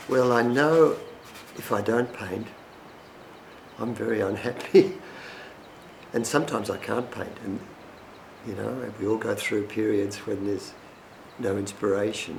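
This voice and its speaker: Over noticeable background noise and audible room echo, a man with an Australian accent talks at a fairly slow pace. His medium pitch shows ordinary variation, broken by long, frequent pauses. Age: 70s. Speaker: painter. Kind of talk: documentary interview. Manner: halting.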